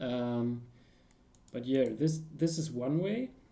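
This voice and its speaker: With audible room echo, a man speaks in a dark, mellow tone and lively intonation. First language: not English. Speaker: security researcher streaming a tutorial. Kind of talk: live-stream tutorial. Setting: live stream with chat. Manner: halting, many fillers and restarts.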